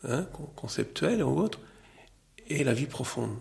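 This man's voice sits at a fairly high pitch. Vocal fry runs through it. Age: 60s. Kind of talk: testimony.

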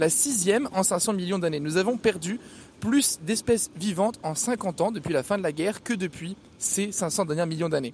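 A high-pitched male voice at a moderate pace with ordinary pitch variation. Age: 20s. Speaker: radio columnist. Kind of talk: scripted narration.

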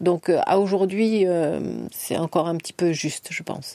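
A woman at medium pitch with a dark, mellow tone, moderate pace, and dry, close sound with no echo. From France, Orléans. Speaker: fencing club president. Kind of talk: radio interview. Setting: studio.

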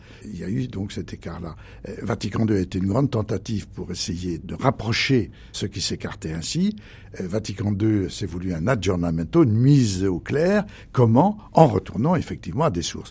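A man with a fairly low, somewhat breathy voice speaks at a moderate pace with lively intonation, on a very clean recording with a silent background. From rural France. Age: 80s+. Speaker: retired archbishop and theologian. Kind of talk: radio interview. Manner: halting.

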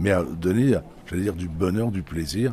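The voice is somewhat breathy and dark, mellow in tone, moving at a moderate pace with lively intonation. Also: man. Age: 60s. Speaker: head gardener and radio columnist. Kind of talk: radio interview.

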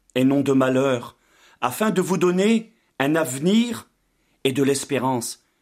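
The recording is very clean, with a silent background. A man speaks very slowly, his intonation lively. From Brittany, France. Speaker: pastor. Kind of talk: sermon; testimony.

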